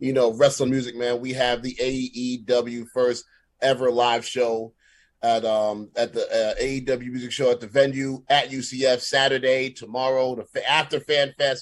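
A man of medium pitch at a fairly slow pace, with ordinary pitch variation. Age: 30s. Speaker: wrestling entrance music producer and rapper. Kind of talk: casual interview chat. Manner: animated.

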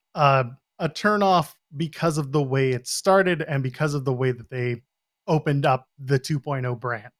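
A plain, everyday voice from a man, fairly high in pitch with ordinary variation, at a moderate pace, in a very clean, dry, close recording with no echo and a silent background. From Canada. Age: 40s. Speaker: wrestling podcaster. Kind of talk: casual chat.

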